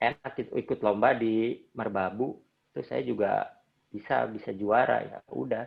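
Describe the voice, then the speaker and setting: A man speaks with a West Javanese accent. His pace is moderate. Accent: Sundanese. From Indonesia, Bandung (West Java). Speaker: trail runner. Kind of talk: interview.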